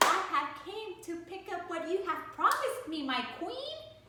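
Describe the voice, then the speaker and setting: A woman's put-on character voice, squeaky and extremely high-pitched, at a moderate pace, with a clear echo and loud background noise. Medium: read story. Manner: sly, bargaining.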